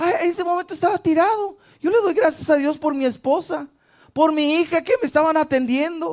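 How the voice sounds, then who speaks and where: At a fairly quick pace, a man speaks at an extremely high pitch with ordinary pitch variation. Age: 60s. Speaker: pastor. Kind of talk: sermon.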